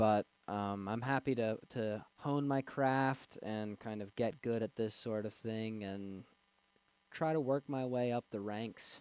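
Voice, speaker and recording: A man talks at a very slow pace with fairly even intonation, his sound dry and close with no echo. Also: medium pitch for a man. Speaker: political livestreamer. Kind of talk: livestream chat. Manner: stuttering; rambling, hesitant.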